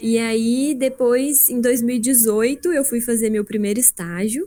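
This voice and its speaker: A woman's high-pitched voice at a fairly slow pace. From Brazil, southern Minas Gerais. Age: 20s. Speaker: production engineer and agile consultant. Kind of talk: presentation. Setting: video call livestream. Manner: casual, conversational.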